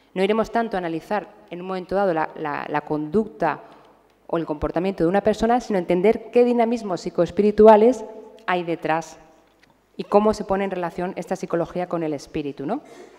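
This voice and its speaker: A woman talks at a medium pitch. Noticeable background noise can be heard. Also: ordinary pitch variation, fairly quick pace. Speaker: psychiatrist lecturer. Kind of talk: lecture. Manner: fast.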